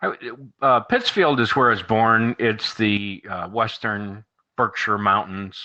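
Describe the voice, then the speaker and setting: A man speaks fairly slowly in a bright, sharp tone at medium pitch, his intonation fairly even. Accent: slight Midwestern. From US, moved around. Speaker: marketing guest. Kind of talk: casual chat.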